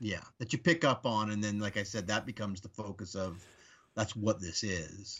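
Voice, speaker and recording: This man has an unremarkable speaking voice with a fairly low pitch. He moves at a moderate pace, and his pitch varies in an ordinary way. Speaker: podcast guest. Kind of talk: casual chat.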